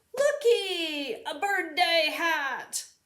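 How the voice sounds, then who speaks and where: Pitched extremely high, a woman performs a put-on character voice. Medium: read story. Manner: loud, enthusiastic.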